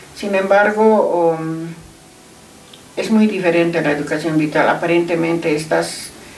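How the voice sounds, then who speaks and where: A woman speaks at a fairly slow pace and fairly low pitch. Audible room echo and noticeable background noise surround her. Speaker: math teacher. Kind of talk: casual interview.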